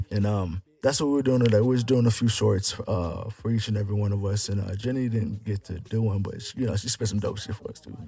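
A man's fairly low voice at a very fast pace with hardly any pauses, fairly even intonation and noticeable background noise. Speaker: rapper. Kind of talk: casual chat. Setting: studio.

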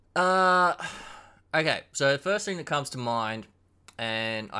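Over a very clean recording with a silent background, a man talks at a moderate pace in a bright, sharp tone with ordinary pitch variation. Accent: Australian. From Queensland, Australia. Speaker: cocktail hobbyist. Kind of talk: casual chat.

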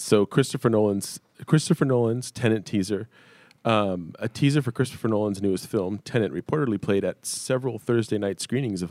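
In a very clean recording with a silent background and a dry, close sound with no echo, a man with fairly low pitch and an ordinary speaking voice talks at a moderate pace with ordinary pitch variation. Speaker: podcaster and voice actor. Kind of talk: casual chat.

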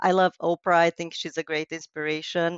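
A woman with a Romanian accent. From western Romania, near Hungarian border. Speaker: wedding and event planner. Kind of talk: interview.

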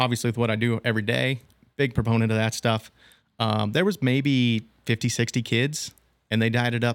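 In a very clean recording with a silent background, a man with a medium pitch and an American accent speaks at a fairly quick pace in a monotone, flat intonation. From Nebraska, US Midwest. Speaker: machine shop owner and racer. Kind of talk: casual interview.

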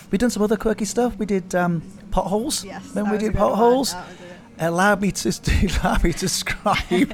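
A high-pitched man at a moderate pace, fairly even in intonation, with noticeable background noise. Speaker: podcast co-host. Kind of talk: casual chat over tea and cake. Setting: coffee house cafe.

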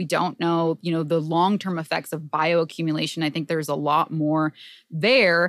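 An unremarkable speaking voice, a woman's of fairly low pitch with fairly even intonation, comes at a moderate pace on a very clean recording with a silent background. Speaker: podcast host. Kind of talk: casual chat.

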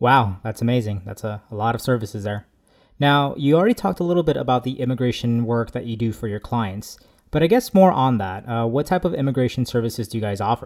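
In an American accent, a man speaks at medium pitch and a very fast pace with ordinary pitch variation. The recording is very clean, the background silent. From Mexican American. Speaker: podcast co-host. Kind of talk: interview.

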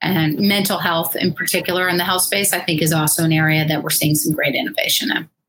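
With an American accent, a woman speaks at a fairly quick pace in an unremarkable speaking voice, fairly low in pitch, with fairly even intonation and very even loudness. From Washington DC, US. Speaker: venture capital investor. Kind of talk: live interview.

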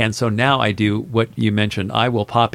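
A medium-pitched man's voice with an American accent. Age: 60s. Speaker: restaurant owner. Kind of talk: interview. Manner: halting, filler-heavy.

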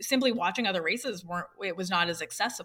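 Speaking at a very fast pace, a woman uses lively intonation. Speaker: race caller and handicapper. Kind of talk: interview and casual chat.

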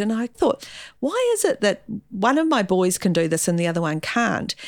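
A woman talks at a fairly quick pace with a New Zealand accent. The recording is very clean, with a silent background. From New Zealand, Gisborne. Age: 50s. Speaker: school principal. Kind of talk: interview.

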